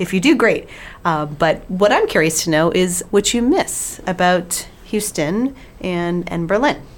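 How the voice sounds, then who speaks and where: A woman with a fairly low pitch and lively intonation. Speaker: podcast co-host. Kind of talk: casual chat.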